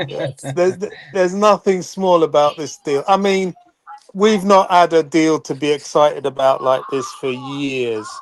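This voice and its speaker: A man with an English accent speaks at a fairly slow pace. His pitch is high, with ordinary variation. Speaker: football fan. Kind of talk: casual chat. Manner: quiet.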